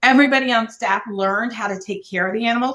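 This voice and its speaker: Over noticeable background noise, a woman speaks in a monotone, flat intonation at a fairly high pitch. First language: Korean. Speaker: business owner. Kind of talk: podcast interview.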